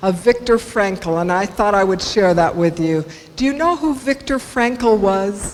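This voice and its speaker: With an American accent, a woman talks at a fairly slow pace and medium pitch with lively intonation over noticeable background noise. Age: 60s. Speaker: motivational speaker. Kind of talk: inspirational talk. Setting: stage with audience.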